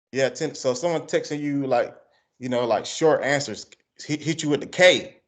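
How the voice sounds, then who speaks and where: Over a quiet background, a man talks at a moderate pace. His pitch is fairly high and his intonation fairly even. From Georgia, US South. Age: 30s. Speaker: interviewer, music channel host. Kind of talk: casual interview.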